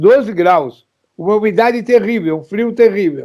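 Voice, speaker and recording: Ordinary pitch variation in a man's voice of dark, mellow tone. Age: 70s. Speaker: political activist and former politician. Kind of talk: political interview. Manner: animated.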